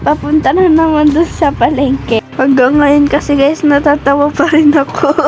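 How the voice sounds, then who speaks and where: A woman speaks at a high pitch with monotone, flat intonation and very even loudness. She keeps a moderate pace with hardly any pauses, with music in the background. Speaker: vlogger. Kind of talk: casual vlog narration.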